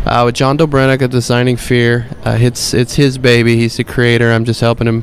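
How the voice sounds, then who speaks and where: A man's medium-pitched voice, fairly quick and flat in intonation, with very even loudness and noticeable background noise. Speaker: YouTube producer. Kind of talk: casual chat.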